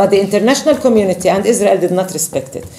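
A woman with an Arabic accent talking at a very fast pace, her pitch swinging very widely, with audible room echo and light background noise. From Palestine. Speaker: politician. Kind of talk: speech; talk to a visiting group, explanatory. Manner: halting. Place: meeting room. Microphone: camera far.

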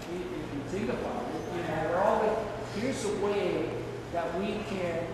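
A man speaks with ordinary pitch variation amid noticeable background noise. Strong room echo fills the recording. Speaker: guest. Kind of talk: talk to students. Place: hall.

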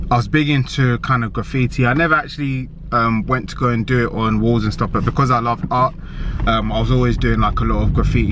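A man is heard in a dry sound with no echo, against loud background noise. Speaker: fitness vlogger. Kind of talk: casual vlog chat. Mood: reflective, relaxed. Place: car. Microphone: phone near.

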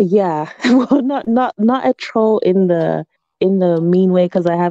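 A woman at medium pitch uses lively intonation and a dark, mellow tone, with a dry sound with no echo and a quiet background. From not originally from the UK. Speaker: livestream caller; caller. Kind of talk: casual chat. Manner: halting. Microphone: video call.

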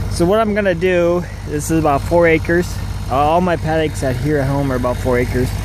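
At a moderate pace, the voice comes through with a dry sound and no echo, over noticeable background noise. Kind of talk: casual vlog chat. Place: open country. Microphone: phone near.

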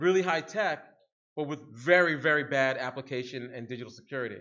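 An ordinary speaking voice, a man with an American accent talks at a moderate pace with ordinary pitch variation. The background is quiet. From Harlem, New York City; New York City. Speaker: security researcher, keynote speaker; keynote speaker. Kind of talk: conference keynote talk. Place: hall. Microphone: podium.

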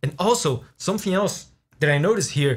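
A man's somewhat breathy voice moves at a moderate pace with lively intonation. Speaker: music reaction creator. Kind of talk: music analysis reaction commentary. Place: home room.

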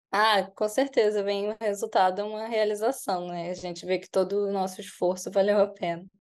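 Her loudness swings widely as this woman talks at a moderate pace with hardly any pauses, her medium pitch held in fairly even intonation. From Brazil, Rio de Janeiro city. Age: 20s. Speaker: veterinarian, exam-passer; guest. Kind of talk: interview. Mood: calm, pleased. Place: home room. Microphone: video call.

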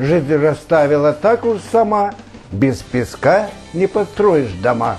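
Faint music plays behind a man who speaks at a very slow pace with very even loudness. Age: 70s. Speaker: amateur poet. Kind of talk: poetry reading. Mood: calm, proud, earnest. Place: home room. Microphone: lapel.

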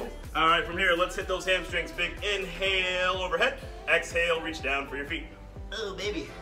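Clear music plays behind the voice. A man talks over it at a moderate pace. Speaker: fitness coach. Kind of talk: workout instruction. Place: gym. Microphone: camera far.

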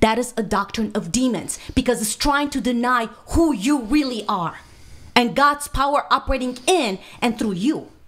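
This woman's voice is high in pitch. Her pitch varies in an ordinary way. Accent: Romanian. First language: Romanian. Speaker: minister, speaker. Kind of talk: podcast interview answer. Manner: fast. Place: studio. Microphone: studio mic.

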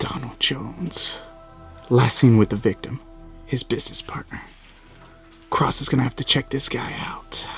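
Against clear music in the background, a raspy, put-on character voice runs at a moderate pace. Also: man, medium pitch for a man. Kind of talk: hard-boiled voice-over. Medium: short film. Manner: gravelly, weary, self-important, refers to himself by surname.

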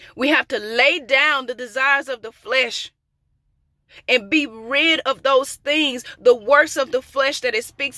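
Over a quiet background, a woman raises and projects her high voice, speaking fairly slowly with a bright, sharp tone, fairly even intonation, and a dry sound with no echo. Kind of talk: prophetic sermon. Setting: outdoors. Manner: emphatic, repetitive. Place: car. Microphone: phone near.

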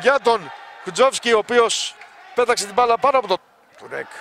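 Amid noticeable background noise, a man uses a raised, projected voice at an extremely high pitch, the sound dry and close with no echo. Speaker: sports commentator. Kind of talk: live sports commentary. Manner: shouts goals with English exclamations, then turns subdued.

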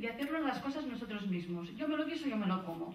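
With audible room echo around her, a woman talks with lively intonation. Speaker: conference panelist. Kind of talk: conference presentation. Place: hall.

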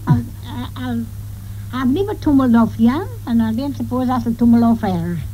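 With a North Yorkshire accent, a woman speaks at a moderate pace against noticeable background noise. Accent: broad North Yorkshire dialect. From North York Moors, northern England. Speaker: farm worker and domestic servant. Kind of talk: interview answer.

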